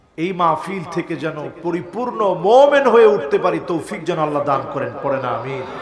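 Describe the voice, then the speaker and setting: Over noticeable background noise, a man with a high pitch speaks with lively intonation. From Bangladesh. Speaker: Islamic preacher; religious preacher. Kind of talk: sermon. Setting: outdoor religious gathering with PA. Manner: calm, not shouting. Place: stage. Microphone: podium.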